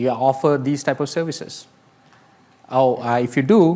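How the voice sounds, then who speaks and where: A man with an Indian accent, medium in pitch, at a moderate pace with fairly even intonation. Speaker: AI industry speaker. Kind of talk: conference talk.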